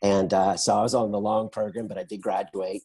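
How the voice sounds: A fairly low-pitched man talks at a fairly quick pace with little pitch movement. His tone is dark and mellow, with a slightly husky edge.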